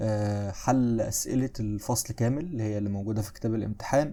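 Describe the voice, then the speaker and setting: The recording is very clean, with a silent background. A man with a medium pitch and a dark, mellow tone speaks at a moderate pace with fairly even intonation. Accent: Egyptian. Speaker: history teacher. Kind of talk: lecture. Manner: less loud than usual; casual, conversational.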